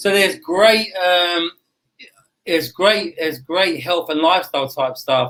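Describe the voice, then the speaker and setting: A man with an English accent speaks fairly slowly at a high pitch. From United Kingdom. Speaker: real estate agent. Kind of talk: interview answer. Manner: casual, chatty.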